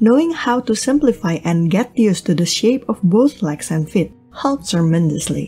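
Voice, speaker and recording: Music plays behind a woman with a non-native accent who speaks at a medium pitch and moderate pace, her pitch swinging very widely. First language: non-native English speaker. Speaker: digital art tutorial creator. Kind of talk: art tutorial narration.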